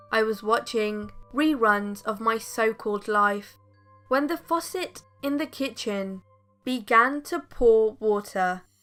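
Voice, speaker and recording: Over music in the background, a woman speaks very slowly at a fairly high pitch with ordinary pitch variation. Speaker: horror story narrator. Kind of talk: true scary story narration.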